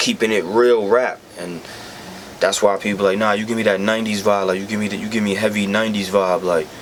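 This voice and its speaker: A man's fairly low, monotone voice with flat intonation over noticeable background noise. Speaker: rapper. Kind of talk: casual chat. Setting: recording studio.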